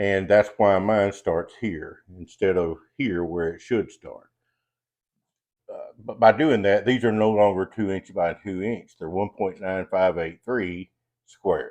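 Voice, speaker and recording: Relaxed in tone, a man speaks at a very slow pace with big swings in loudness. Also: fairly low pitch for a man, ordinary pitch variation. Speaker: woodworker, CNC hobbyist. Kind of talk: casual tutorial talk to camera. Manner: relaxed, folksy.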